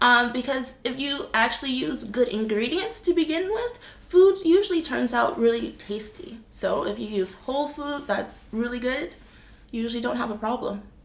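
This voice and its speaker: Over noticeable background noise, a woman with an American accent speaks at a moderate pace with high pitch and lively intonation. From US (Boston and California). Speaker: vlogger. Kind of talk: casual Q&A chat.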